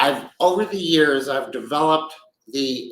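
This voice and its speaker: An ordinary speaking voice from a man, fairly high-pitched, at a fairly slow pace with ordinary pitch variation. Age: 60s. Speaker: business executive and podcast host. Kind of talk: casual monologue podcast. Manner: conversational with frequent fillers.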